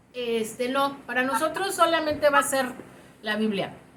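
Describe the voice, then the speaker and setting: Lively intonation comes at a moderate pace, with audible room echo. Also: woman. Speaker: Bible teacher. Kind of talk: online class lecture.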